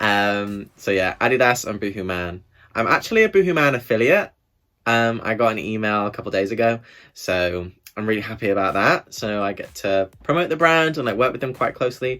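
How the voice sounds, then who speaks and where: The speaker has an English accent and an animated, bright, sharp tone with ordinary pitch variation. The pace is fairly quick on a very clean recording with a silent background. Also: man, medium pitch for a man. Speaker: YouTuber. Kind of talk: casual chat.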